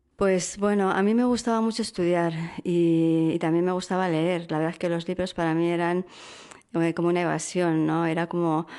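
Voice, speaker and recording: At a moderate pace, a woman speaks at a fairly low pitch with fairly even intonation and very even loudness. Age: 50s. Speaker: interview guest sharing faith testimony. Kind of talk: testimony. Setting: radio studio. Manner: hesitant, many fillers.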